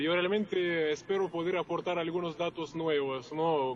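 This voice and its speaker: Against noticeable background noise, a man with a Russian accent speaks at a high pitch and a moderate pace. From Russia, Moscow. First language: Russian (speaking Spanish). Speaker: journalist and producer. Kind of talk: interview. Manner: hesitant, many fillers.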